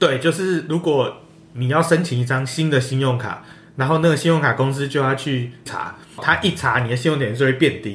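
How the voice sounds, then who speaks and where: Here is a man with an ordinary speaking voice and a fairly high pitch. He keeps a moderate pace and ordinary pitch variation. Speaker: podcast guest. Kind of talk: casual chat.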